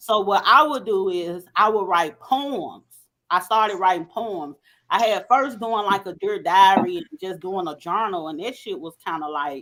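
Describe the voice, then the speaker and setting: A woman with a Southern accent speaks at a moderate pace and medium pitch, her tone bright and sharp. Her intonation is lively, her loudness swings widely, and the recording is very clean with a silent background. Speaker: podcast co-host. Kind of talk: casual chat.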